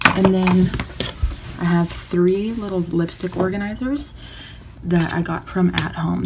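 Background noise is noticeable throughout. The speech keeps a moderate pace. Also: woman. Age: young. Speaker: beauty vlogger. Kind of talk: casual chat. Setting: at home in her bedroom. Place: home room. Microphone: phone near.

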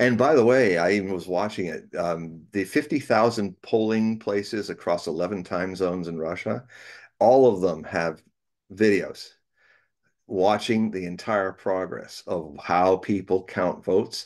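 Against a quiet background, a man with an American accent and a fairly low pitch speaks at a fairly slow pace with ordinary pitch variation. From United States. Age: 60s. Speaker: prophecy writer and reader. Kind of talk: casual interview chat. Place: home room. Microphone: video call.

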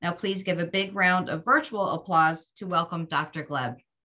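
Her pace is moderate, and her tone is bright and sharp. This woman's pitch is medium, with ordinary pitch variation. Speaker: professional association chapter moderator. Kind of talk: event introduction and Q&A moderation. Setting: virtual meeting.

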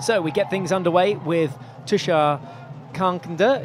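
A man speaks in an animated tone at a high pitch. Background noise is noticeable. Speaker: hockey commentator. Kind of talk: live sports commentary. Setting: broadcast commentary from match venue. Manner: animated, fast play-by-play, rising excitement at goals; fluent, upbeat broadcaster delivery.

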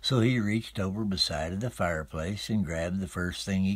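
A man speaks with an Appalachian accent. His pace is moderate and his pitch varies in an ordinary way. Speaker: storyteller. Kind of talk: folk tale telling.

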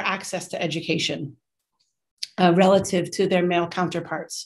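A woman with an American accent talks at a moderate pace against a quiet background. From United States. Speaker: university professor and teaching center director. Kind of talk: lecture. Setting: video call.

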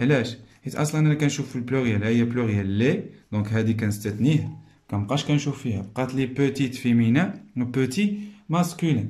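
The man's voice is somewhat breathy and has a dark, mellow tone, heard against a quiet background. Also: medium pitch for a man, lively intonation. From Morocco. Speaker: primary school teacher. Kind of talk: tutorial. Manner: slow, explanatory. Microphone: phone near.

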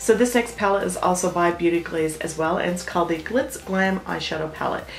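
Over light background noise, a woman speaks fairly quickly, her pitch varying in an ordinary way. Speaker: beauty vlogger. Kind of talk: casual product review chat. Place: home room.

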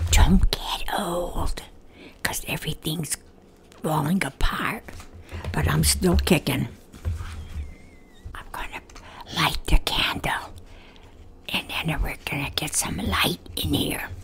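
Whispering at a very slow pace, a woman leaves long, frequent pauses and shows big swings in loudness. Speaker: elderly home vlogger. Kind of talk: casual vlog chat. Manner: elderly woman's soft, aged voice. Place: home room. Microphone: studio mic.

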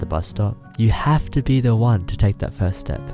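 With music in the background, a man speaks at a moderate pace in a fairly low pitch with very wide pitch swings. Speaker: YouTuber. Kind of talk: motivational speech. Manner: casual.

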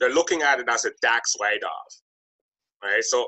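A quiet background sits behind a man speaking at a moderate pace. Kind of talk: interview conversation. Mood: explanatory, businesslike. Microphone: webcam.

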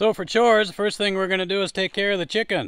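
The man's voice sits over a quiet background. The sound is dry, with no echo. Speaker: farm owner vlogger. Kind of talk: casual vlog chat. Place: farm machine. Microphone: lapel.

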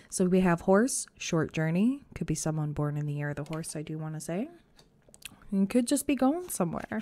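A woman speaks at a moderate pace with lively intonation. Her pitch is fairly low and her tone slightly mellow.

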